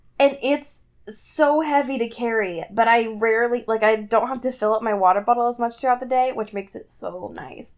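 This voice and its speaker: Animated in tone, a woman speaks at a moderate pace and fairly high pitch, with big swings in loudness. Noticeable background noise is present. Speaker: teacher. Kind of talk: casual chat.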